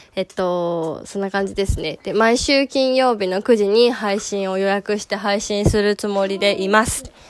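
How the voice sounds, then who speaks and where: A woman speaks at a medium pitch and a fairly slow pace with fairly even intonation. Noticeable background noise is present. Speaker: picture book instructor and podcaster. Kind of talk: casual self-introduction monologue. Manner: halting, many fillers.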